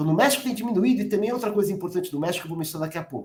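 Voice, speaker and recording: A man is speaking. His intonation is lively. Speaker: economics professor. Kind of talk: academic conference presentation. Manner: fast; halting, many fillers.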